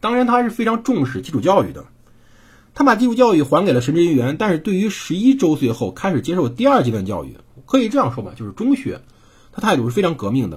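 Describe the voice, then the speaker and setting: A man with a high voice and a slight Henan accent talks very fast, his pitch swinging very widely and his loudness rising and falling by big amounts. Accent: slight Henan accent in Mandarin. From Henan, China. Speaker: podcast host reading and narrating history. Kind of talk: history storytelling monologue. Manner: casual, conversational.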